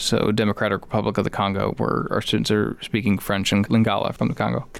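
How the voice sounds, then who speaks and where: Someone with a Chicago accent speaks at a fairly quick pace with fairly even intonation. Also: man. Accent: Chicago-area US English. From Chicago area, Illinois. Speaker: high school teacher. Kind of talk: interview.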